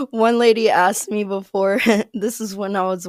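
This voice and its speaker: Speaking with an American accent, a woman keeps to a moderate pace. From US Midwest, small town in Ohio near Cincinnati. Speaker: American expat. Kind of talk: casual interview chat.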